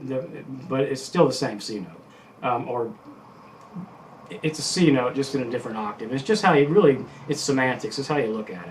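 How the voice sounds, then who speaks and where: Lively intonation from a medium-pitched man at a fairly quick pace, with audible room echo. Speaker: guitar teacher. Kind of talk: tutorial. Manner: fast; casual, halting with many fillers.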